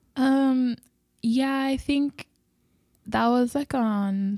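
A woman's high-pitched voice with a dark, mellow tone at a very slow pace. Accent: Spanish. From Mexico, border city near Laredo. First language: Spanish. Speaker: ministry worker. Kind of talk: interview.

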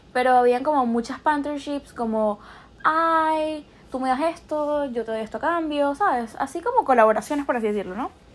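Her pitch high and ordinarily varied, a woman talks at a moderate pace. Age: young. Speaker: podcast host. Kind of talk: casual monologue. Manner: animated.

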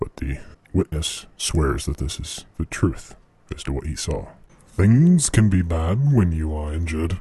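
Speaking at a moderate pace, a man has a very deep, low voice. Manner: stiff, halting formal.

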